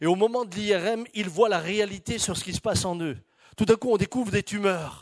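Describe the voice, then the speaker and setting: A man talks fairly quickly at a high pitch, with ordinary pitch variation and big swings in loudness. The recording is very clean with a silent background and a dry, close sound with no echo. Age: 60s. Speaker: pastor. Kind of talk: sermon.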